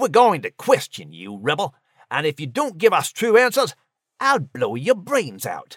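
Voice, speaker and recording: Using a put-on character voice, a man speaks at a high pitch. His pace is moderate. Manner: hissed threat through gritted teeth.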